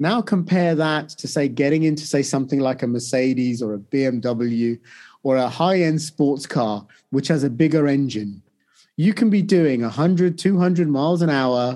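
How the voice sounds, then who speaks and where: A man with a British accent, fairly high in pitch with a dark, mellow tone, at a moderate pace with ordinary pitch variation over a quiet background. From UK. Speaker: financial trader and investment educator. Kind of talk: interview.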